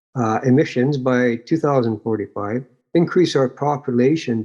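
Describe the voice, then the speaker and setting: A man with a Canadian accent has an unremarkable speaking voice, talking at a moderate pace with ordinary pitch variation. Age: 60s. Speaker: local chapter leader. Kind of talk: interview on a live online show.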